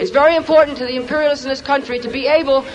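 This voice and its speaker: A man's extremely high-pitched voice with fairly even intonation over noticeable background noise. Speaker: rally speaker. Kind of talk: rally speech. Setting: outdoor rally, in the rain. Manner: passionate, fast-paced, argumentative.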